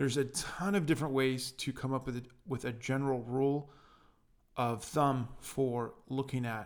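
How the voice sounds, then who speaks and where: Recorded very cleanly against a silent background, a man with a plain, everyday voice speaks at a moderate pace, medium in pitch with fairly even intonation. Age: 30s. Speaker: podcast co-host. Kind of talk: casual chat.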